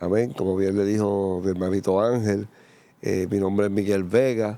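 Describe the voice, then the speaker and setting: This man has an ordinary speaking voice with fairly low pitch. He talks at a moderate pace, and his intonation stays fairly even. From Puerto Rico, San Juan. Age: 60s. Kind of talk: testimony interview.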